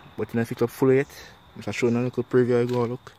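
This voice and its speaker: Over light background noise, a man with a Jamaican accent speaks in a dry sound with no echo. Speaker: spearfishing video creator. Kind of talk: casual tutorial vlog. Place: garden. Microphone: phone near.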